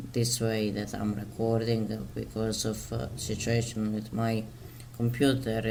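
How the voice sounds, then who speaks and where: A man with a Slavic accent speaks at a very slow pace in a monotone, flat intonation. Audible echo fills the room. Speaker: mental health video maker. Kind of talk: casual chat. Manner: halting, many fillers.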